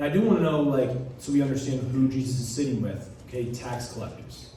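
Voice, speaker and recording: Someone talks at a fairly quick pace, with noticeable background noise and audible room echo. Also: man. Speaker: lay preacher. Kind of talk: sermon with testimony. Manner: hesitant, many ums.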